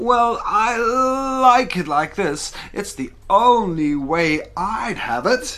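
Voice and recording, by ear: A put-on character voice, fairly high in pitch, speaks at a very slow pace.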